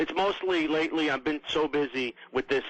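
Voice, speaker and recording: In a New York accent, a man speaks at a moderate pace with ordinary pitch variation. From New York, Queens. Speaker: political blogger and podcaster. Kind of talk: radio interview.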